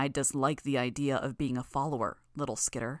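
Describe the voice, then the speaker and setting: A rumbling put-on character voice with a low-to-middle pitch at a fairly quick pace, on a very clean recording with a silent background. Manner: arrogant, disdainful.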